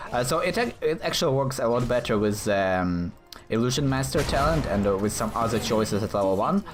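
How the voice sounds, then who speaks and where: Noticeable background noise sits behind a man with a medium pitch. His intonation is lively while his loudness stays very even. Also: fairly quick pace. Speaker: gaming commentator. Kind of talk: gameplay commentary. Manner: halting, stuttering; animated.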